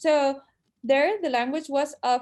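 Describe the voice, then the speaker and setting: A woman speaks with a Spanish accent at a moderate pace. Her voice is high and her intonation lively. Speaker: panelist on Chinese diaspora in Spain. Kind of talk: panel discussion. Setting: video call.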